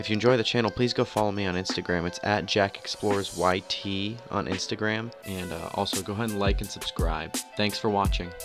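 Over music in the background, a man talks at a fairly quick pace with hardly any pauses, his fairly low voice keeping a fairly even intonation. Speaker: channel host. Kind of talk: casual vlog intro voice-over.

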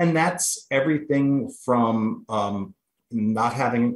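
A man talks at a very slow pace, with audible room echo around him. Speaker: guest. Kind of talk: interview answer. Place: home room. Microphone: video call.

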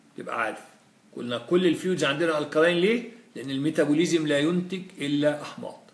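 In a room with audible echo, a man with a fairly high voice talks at a moderate pace with ordinary pitch movement. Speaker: physiology lecturer. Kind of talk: lecture. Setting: live-streamed lecture. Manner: animated.

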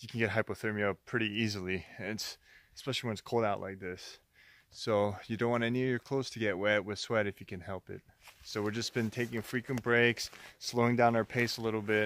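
In a normal speaking voice, a man talks with fairly even intonation and a fairly low pitch, the sound dry with no echo and light background noise behind it. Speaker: backpacking vlogger. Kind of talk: casual vlog chat. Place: forest. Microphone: phone near.

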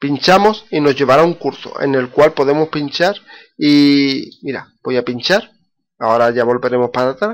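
This is a man with a fairly high pitch. His pitch varies in an ordinary way.

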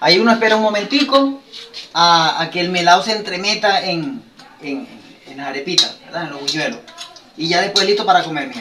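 In a Venezuelan accent, an animated, raised and projected voice moves at a fairly quick pace with lively intonation, big swings in loudness and long, frequent pauses, over light background noise. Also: man, high pitch for a man. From Venezuela, Bolívar state. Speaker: YouTube cooking creator. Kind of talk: cooking tutorial. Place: kitchen. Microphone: phone near.

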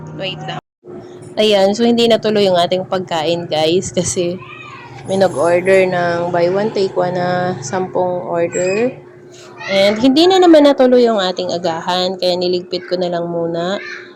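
A woman's medium-pitched voice is heard against noticeable background noise. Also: ordinary pitch variation, moderate pace. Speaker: vlogger and milk tea shop owner. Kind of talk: casual vlog narration. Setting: in her shop. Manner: laughing.

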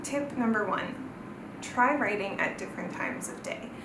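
With a Southern Californian accent, a woman talks at a fairly high pitch with lively intonation, amid clear background noise and audible room echo.

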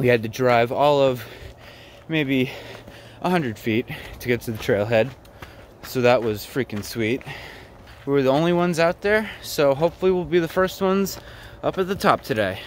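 Lively intonation from a man at a moderate pace, long and frequent pauses, a dry sound with no echo, and light background noise. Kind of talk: casual vlog chat. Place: forest. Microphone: phone near.

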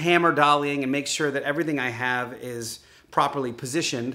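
A man's bright, sharp voice carries ordinary pitch variation. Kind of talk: casual vlog chat. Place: garage. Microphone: phone near.

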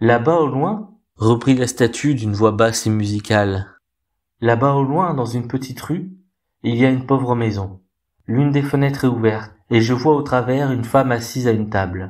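A man speaks at a moderate pace and medium pitch with ordinary pitch variation. It is an unremarkable speaking voice. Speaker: storyteller reading a tale aloud. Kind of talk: dramatic narration of a fairy tale, with character voices. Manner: expressive and theatrical, changing voice for each character.

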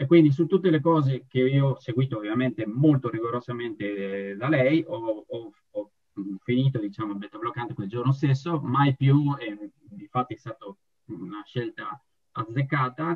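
This man has an unremarkable speaking voice, a medium pitch with ordinary variation, and a moderate pace. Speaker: patient. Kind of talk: testimony. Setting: video call.

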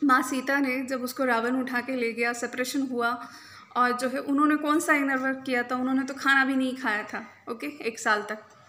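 A woman's raised, projected voice, high in pitch, flat and monotone, at a moderate pace. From India. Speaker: reiki healer and spiritual coach; spiritual coach. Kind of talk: spiritual talk to camera. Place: home room. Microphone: phone near.

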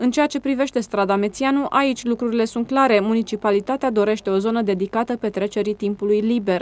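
A woman with a normal speaking voice talks at a fairly quick pace in a fairly high pitch, with fairly even intonation and hardly any pauses. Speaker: news reporter. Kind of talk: news narration. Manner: formal.

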